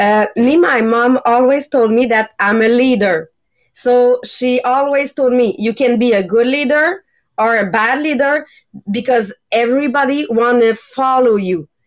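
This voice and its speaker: In a Quebec accent, a woman speaks with a high pitch, ordinary pitch variation and very even loudness at a fairly slow pace. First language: French. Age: young. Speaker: podcast co-host. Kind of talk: casual chat. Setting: video call.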